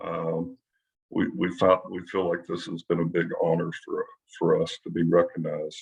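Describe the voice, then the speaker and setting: The speaker has a Kentucky accent and talks at a moderate pace. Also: man. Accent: Kentucky (US South). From western Kentucky. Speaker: physician. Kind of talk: panel discussion.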